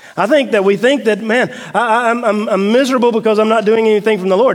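Here a man with a Southern US accent talks at a very fast pace. His pitch is high, with ordinary variation. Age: 40s. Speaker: pastor. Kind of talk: sermon. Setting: church.

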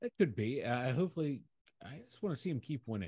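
A man's very fast, somewhat breathy delivery in a dark, mellow tone with lively intonation. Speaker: sports podcast co-host. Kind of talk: casual chat.

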